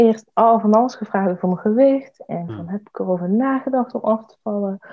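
Moderate pacing and ordinary pitch variation from a woman. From Eindhoven, North Brabant, Netherlands. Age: 20s. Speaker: parliamentary candidate and activist. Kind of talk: interview. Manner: hesitant, many fillers.

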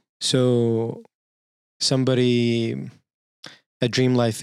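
A man speaks very slowly, his pitch sitting in the medium range. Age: 30s. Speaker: podcast co-host. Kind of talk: casual chat.

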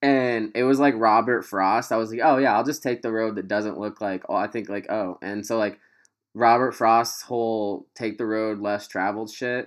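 A man talks at a moderate pace with an American accent and a medium pitch. He has an ordinary speaking voice, fairly even intonation, and a quiet background. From US Midwest, Quincy, Illinois area. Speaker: podcast host. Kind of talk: casual chat. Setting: video call.

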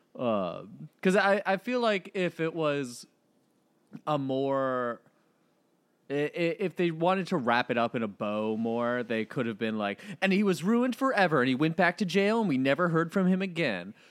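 The recording is very clean with a silent background. A man with a fairly high pitch talks at a moderate pace, making very wide pitch swings. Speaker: movie podcast host. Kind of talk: casual chat, movie review podcast.

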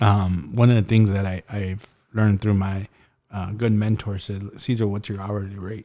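At a moderate pace, a man speaks with a dark, mellow tone, a fairly low pitch and fairly even intonation. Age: 40s. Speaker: podcast host and entrepreneur. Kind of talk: casual interview chat.

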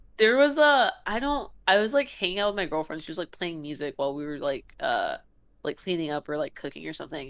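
A woman speaks at a very fast pace and a medium pitch, with very wide pitch swings. The recording is very clean, with a silent background. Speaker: comedian. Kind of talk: casual chat.

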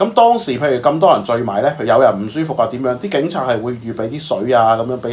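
A man talks at a very fast pace in an animated tone, with medium pitch and lively intonation. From Macau. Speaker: current affairs commentator. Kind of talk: casual chat.

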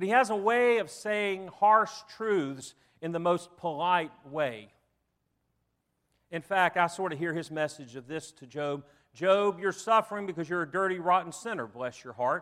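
With a Southern US accent, this voice moves at a moderate pace, using lively intonation and big swings in loudness. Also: man, high pitch for a man. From US South. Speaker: preacher. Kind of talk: sermon. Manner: halting.

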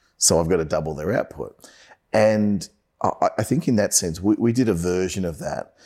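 Very clean recording of a man speaking, silent background behind him. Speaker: sales podcast host. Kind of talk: casual chat. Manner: fast.

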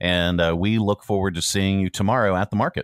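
A man with a normal speaking voice talks at a fairly quick pace. His fairly low pitch keeps a fairly even intonation. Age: 50s. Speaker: radio show host. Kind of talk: casual morning radio chat.

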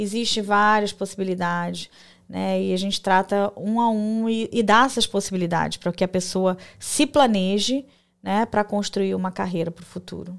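Recorded very cleanly with a silent background, a woman at medium pitch uses an unremarkable speaking voice with fairly even intonation at a moderate pace. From Brazil. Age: 40s. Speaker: diploma validation consultant, entrepreneur. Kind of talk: casual interview. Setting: live podcast studio.

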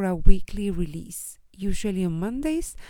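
Speaking at a fairly slow pace, a woman uses a medium pitch and a dark, mellow tone with lively intonation. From Chile. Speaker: life coach and podcast host. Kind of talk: solo podcast introduction.

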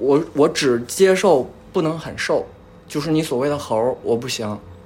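A man talks at a moderate pace with lively intonation in a plain, everyday voice. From Northeast China. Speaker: podcast guest. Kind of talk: casual chat.

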